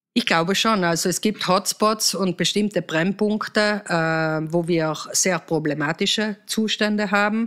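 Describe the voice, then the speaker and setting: A woman with a medium pitch speaks at a fairly slow pace with hardly any pauses and ordinary pitch variation, on a very clean recording with a silent background. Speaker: politician. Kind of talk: interview. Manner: hesitant, many filler sounds.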